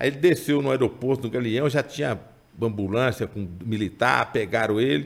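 This man has an unremarkable speaking voice, medium in pitch, with ordinary pitch variation and a moderate pace. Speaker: writer of chronicles, member of political family. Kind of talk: casual interview.

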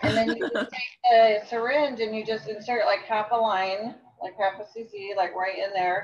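An ordinary speaking voice with an American accent, ordinary pitch variation and a fairly slow pace. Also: woman, fairly high pitch for a woman. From Phoenix, Arizona. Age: 40s. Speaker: interview guest. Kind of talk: casual chat.

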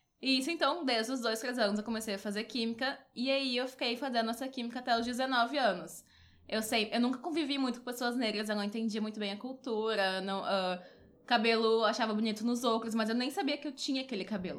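A woman has an unremarkable speaking voice, fairly high in pitch with ordinary pitch variation, and talks at a fairly quick pace. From Porto Alegre, southern Brazil. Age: 20s. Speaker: columnist and beauty blogger. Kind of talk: casual chat.

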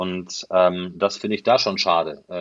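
The pitch is very deep and low. This man takes a fairly slow pace. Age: 40s. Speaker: football commentator. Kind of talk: casual interview. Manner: halting, many fillers.

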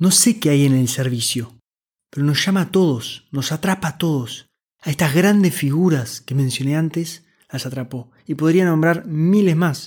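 In a very clean recording with a silent background, a man talks at a moderate pace. He has an unremarkable speaking voice, fairly high in pitch with ordinary variation. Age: 20s. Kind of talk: scripted monologue.

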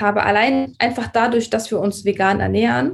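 A woman's somewhat breathy, fairly high voice over a quiet background. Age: 30s. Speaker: vegan nutrition consultant. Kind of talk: casual interview. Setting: remote call.

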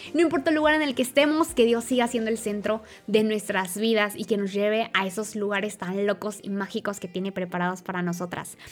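Her medium-pitched voice moving at a fairly quick pace, a woman talks with hardly any pauses and ordinary pitch variation. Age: 20s. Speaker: podcast host. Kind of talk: faith talk monologue.

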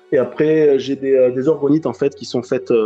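A man speaks with a dark, mellow tone. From southwest France, Landes. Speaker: spiritual medium. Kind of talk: interview. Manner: hesitant, many fillers.

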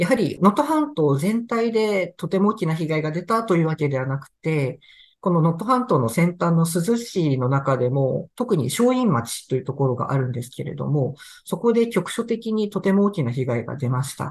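Very wide pitch swings from a man at a high pitch, over a quiet background. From Tohoku, Sendai, Japan. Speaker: newspaper reporter. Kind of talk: interview about news reporting.

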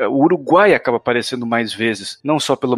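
A man at medium pitch talks at a fairly quick pace in an ordinary speaking voice, the sound dry and close with no echo on a very clean recording with a silent background. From Brazil. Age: 20s. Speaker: podcast host. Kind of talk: casual chat.

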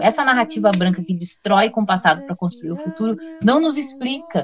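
Over noticeable background noise, a woman at medium pitch talks at a fairly quick pace with very wide pitch swings. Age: 40s. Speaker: history teacher and researcher. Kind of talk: casual chat.

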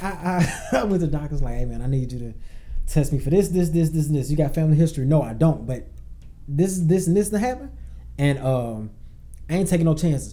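A man's fairly high, somewhat breathy voice with a dark, mellow tone, ordinary pitch variation, a very fast pace broken by long, frequent pauses, and audible room echo. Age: 30s. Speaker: poet and hip hop artist. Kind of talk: casual chat.

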